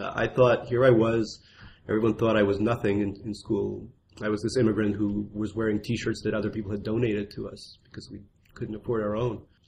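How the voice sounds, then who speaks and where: At a fairly quick pace, a man with a fairly low, somewhat breathy voice speaks in a monotone, flat intonation with big swings in loudness. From Russia. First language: Russian. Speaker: memoir author. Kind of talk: interview.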